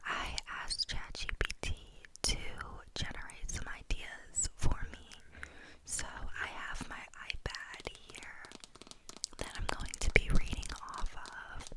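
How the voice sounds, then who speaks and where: Whispering at a very slow pace, a woman's loudness swings widely, with noticeable background noise behind her. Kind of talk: ASMR close-whisper talk to camera. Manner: whispered, soft.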